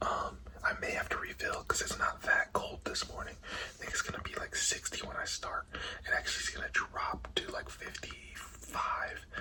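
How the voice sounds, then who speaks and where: Whispering at a moderate pace with hardly any pauses, a man speaks over noticeable background noise. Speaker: cycling vlogger. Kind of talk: casual vlog narration.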